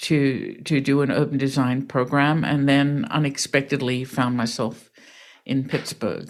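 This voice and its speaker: A woman's very deep, low voice in an Australian accent, fairly even in intonation, on a very clean recording with a silent background. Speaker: real estate developer and crowdfunding founder. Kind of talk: interview.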